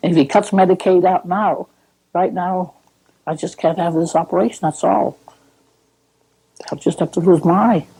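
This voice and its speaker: The voice is somewhat breathy with a dark, mellow tone and fairly even intonation, leaving long, frequent pauses. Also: woman, fairly low pitch for a woman, moderate pace. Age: 80s+. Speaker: widowed senior citizen on social security. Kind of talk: documentary interview testimony.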